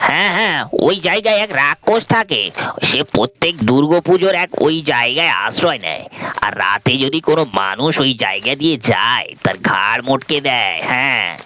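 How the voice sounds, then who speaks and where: Music plays in the background as a man performs a put-on character voice. His pitch is fairly high. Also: moderate pace. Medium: audio drama.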